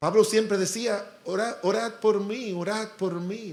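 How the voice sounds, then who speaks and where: Audible room echo surrounds a man with a high-pitched voice. He talks at a fairly slow pace with ordinary pitch variation. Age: 60s. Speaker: pastor. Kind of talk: sermon.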